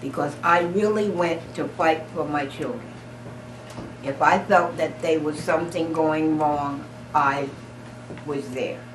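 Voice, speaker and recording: Amid noticeable background noise, a woman with an American accent speaks very slowly in a very deep, low voice, with fairly even intonation and long, frequent pauses. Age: 80s+. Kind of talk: oral history interview answer.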